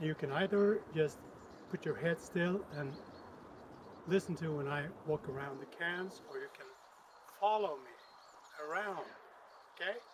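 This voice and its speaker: This man mumbles at a fairly slow pace, with a high pitch for a man and long, frequent pauses. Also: ordinary pitch variation. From Sweden. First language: Swedish. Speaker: tech video maker. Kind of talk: casual vlog talk. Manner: mumbling. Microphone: built-in camera spatial audio.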